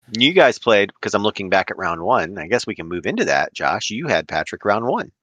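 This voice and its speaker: A man with an Ohio accent speaks at a fairly quick pace, his fairly low voice bright and sharp in tone with lively intonation. The sound is dry and close, with no echo. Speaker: podcast host. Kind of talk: casual chat.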